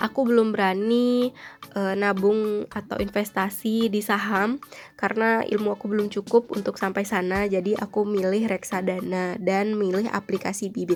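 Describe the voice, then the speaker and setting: Music plays behind a woman speaking at a medium pitch. Her intonation is flat and monotone. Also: moderate pace. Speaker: YouTuber reviewing investment app. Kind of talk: casual tutorial review. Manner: casual with filler hesitations.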